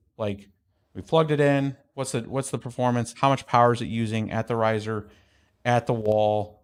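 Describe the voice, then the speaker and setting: On a very clean recording with a silent background, a man talks at a medium pitch with fairly even intonation. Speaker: crypto mining youtuber. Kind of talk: livestream tech talk. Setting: livestream studio. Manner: fast; casual.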